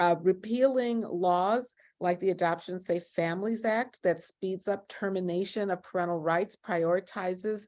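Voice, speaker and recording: This woman has an unremarkable speaking voice, pitched at a medium level. She keeps a moderate pace and fairly even intonation over a quiet background. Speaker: law professor and abolition scholar. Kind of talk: panel discussion. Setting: online video event.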